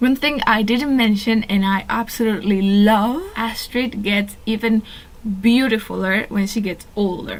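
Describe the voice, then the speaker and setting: A woman speaks at a fairly slow pace in a fairly high pitch, with a Spanish accent. Her intonation is fairly even, and background noise is noticeable. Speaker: fan video commentator. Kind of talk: casual monologue.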